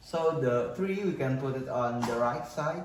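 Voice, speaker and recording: There is noticeable background noise and audible room echo. A man talks with an Indonesian accent. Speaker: university student. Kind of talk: student presentation. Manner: halting.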